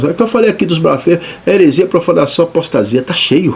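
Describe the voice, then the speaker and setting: With ordinary pitch variation, this man's speech runs at a fairly quick pace. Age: 60s. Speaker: pastor. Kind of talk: sermon. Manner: animated; halting.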